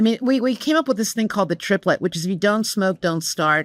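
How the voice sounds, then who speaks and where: A woman with an American accent speaks at a medium pitch. The recording is very clean with a silent background and a dry, close sound with no echo. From United States. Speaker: corporate communications executive. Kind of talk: podcast interview. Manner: animated.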